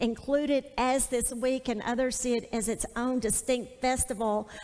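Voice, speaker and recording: A woman's high-pitched voice at a moderate pace. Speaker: Bible teacher. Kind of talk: sermon. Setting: stage with audience.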